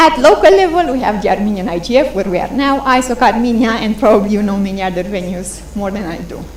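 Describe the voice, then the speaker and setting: Against noticeable background noise, a woman speaks at a fairly high pitch and a fairly quick pace. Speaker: conference presenter on internet governance. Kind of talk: conference presentation. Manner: fast.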